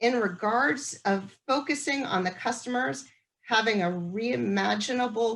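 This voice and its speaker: A woman, somewhat breathy, lets her pitch swing very widely. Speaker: transit agency staff moderating public meeting. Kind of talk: virtual community meeting Q&A. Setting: video call.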